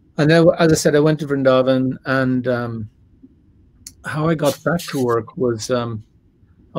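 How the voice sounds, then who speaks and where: A man speaks with an Irish accent. His pace is moderate, with ordinary pitch variation. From Ireland. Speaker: religious scholar and lecturer; guest. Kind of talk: interview. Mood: relaxed, reflective. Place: home room. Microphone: webcam.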